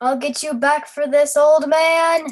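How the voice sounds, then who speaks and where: Someone puts on a character voice, speaking at a high pitch in a flat, monotone way at a fairly slow pace. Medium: read story. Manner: clipped, formal.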